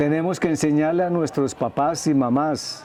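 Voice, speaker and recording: Over noticeable background noise, a man with a fairly high voice speaks at a fairly slow pace with fairly even intonation. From Colombia, Medellín. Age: 60s. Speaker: psychologist. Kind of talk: TV interview. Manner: halting, repeats words.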